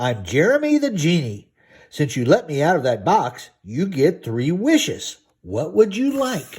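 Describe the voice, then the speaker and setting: In a put-on character voice, a man speaks at a moderate pace with a fairly high pitch. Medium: read story.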